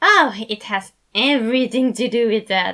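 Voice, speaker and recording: At a moderate speed, the words are delivered in a put-on character voice. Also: woman. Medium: read story. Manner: excitable, giggly.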